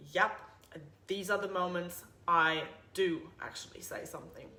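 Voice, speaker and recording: A German accent at a moderate pace, with audible room echo. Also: woman. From Germany. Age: 30s. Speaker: podcast host, personal trainer. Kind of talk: casual monologue podcast intro. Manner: blunt, straightforward.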